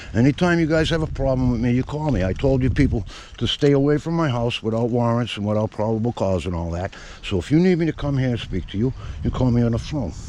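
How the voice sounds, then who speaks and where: Noticeable background noise sits behind a man speaking in an American accent at a very fast pace. His medium-pitched voice has lively intonation. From Massachusetts (Chelsea, Boston area). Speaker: local activist filming officials. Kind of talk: heated confrontation. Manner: loud.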